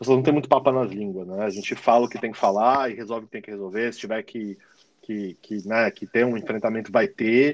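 In a São Paulo accent, a man speaks fairly quickly at a medium pitch. His intonation is fairly even, but his loudness swings a lot. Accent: Paulistano Brazilian Portuguese. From São Paulo, Brazil. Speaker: digital marketing manager. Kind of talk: casual interview. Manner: halting, many fillers.

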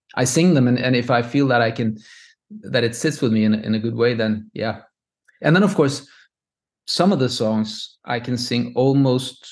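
A man with a Norwegian accent at a medium pitch and moderate pace, with long, frequent pauses and a quiet background. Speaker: composer. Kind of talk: interview. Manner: halting.

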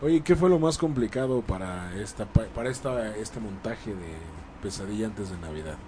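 In a Mexican accent, a man speaks at a moderate pace with a dark, mellow, somewhat breathy tone, very wide pitch swings and big swings in loudness. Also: fairly low pitch for a man. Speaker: radio host. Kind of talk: casual chat.

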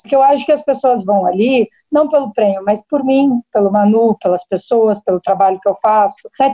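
This woman's voice sits fairly high in pitch, with a dark, mellow tone, a moderate pace, and a dry, close sound with no echo. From southern Brazil, Paraná interior (Maringá). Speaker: chef. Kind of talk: casual interview.

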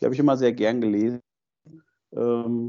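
A man with a dark, mellow tone. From Germany, Fulda (eastern Hesse). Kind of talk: interview.

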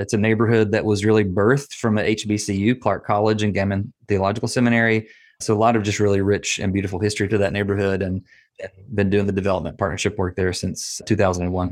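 Over a quiet background, a man talks at a very fast pace with a slight Southern US accent. His fairly low voice stays monotone, with flat intonation. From US South, Nashville, Tennessee. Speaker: nonprofit training director and consultant. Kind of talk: interview.

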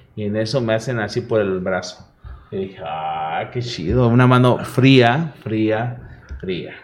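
Speaking at a very slow pace, a man uses a fairly low pitch with ordinary pitch variation, amid audible room echo and noticeable background noise. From Mexico, Veracruz. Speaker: radio host. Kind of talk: casual chat.

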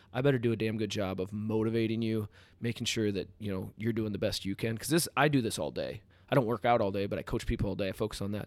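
A man with an American accent talks at a very fast pace and a fairly low pitch. The recording is very clean, with a silent background. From US Midwest, Iowa. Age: 30s. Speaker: CrossFit coach and gym owner. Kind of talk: podcast interview. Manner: animated.

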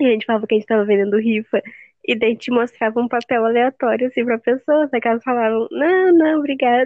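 Pitch varies in an ordinary way as the words come at a very fast pace. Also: woman, high pitch for a woman. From Rio Grande do Sul, Brazil. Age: 19. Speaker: podcast co-host. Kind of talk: casual chat.

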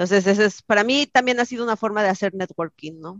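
A woman with a normal speaking voice and ordinary pitch variation is heard in a dry, close sound with no echo over a quiet background. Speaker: software engineer. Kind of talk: interview.

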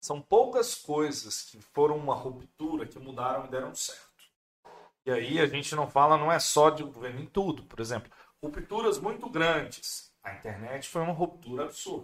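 Loudness swings widely as a man with a fairly high pitch talks at a moderate pace with lively intonation. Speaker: podcast host. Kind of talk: casual chat. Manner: talkative.

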